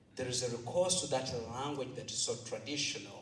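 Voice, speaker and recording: Medium-pitched speech from a man, audible room echo and noticeable background noise around it. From Africa. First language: not English. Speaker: priest and teacher, audience questioner. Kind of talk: audience question at lecture.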